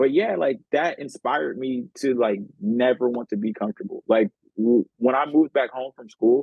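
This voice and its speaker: A man with a medium-pitched, ordinary speaking voice. His intonation is lively and his loudness swings widely. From Oakland, California. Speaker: podcast host. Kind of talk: casual chat.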